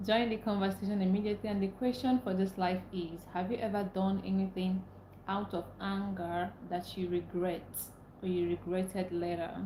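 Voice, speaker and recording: With a Nigerian accent, a woman speaks at medium pitch and a moderate pace in a monotone, flat way over noticeable background noise. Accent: Nigerian English (Igbo). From Nigeria (Igbo). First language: Igbo. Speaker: livestreamer. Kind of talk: live stream chat.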